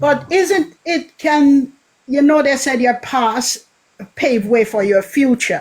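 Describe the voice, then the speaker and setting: Someone with a Jamaican accent speaks at a very slow pace. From Jamaica, Kingston (Greenwich Town). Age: 60s. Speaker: caller. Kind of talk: call-in question on a radio-style show.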